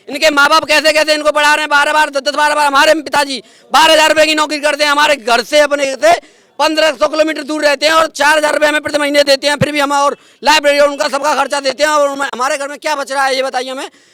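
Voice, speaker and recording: A man speaks in a raised, projected voice at an extremely high pitch. The tone is animated. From India, Mathura district, Uttar Pradesh. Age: 20s. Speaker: protesting exam aspirant. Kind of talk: street interview, emotional complaint.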